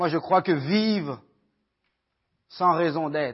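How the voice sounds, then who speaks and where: Speaking very slowly, a man uses lively intonation. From Haiti, raised in Quebec (Montreal area) from age 14. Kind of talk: testimony. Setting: church with audience, microphone. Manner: halting, many fillers and repetitions.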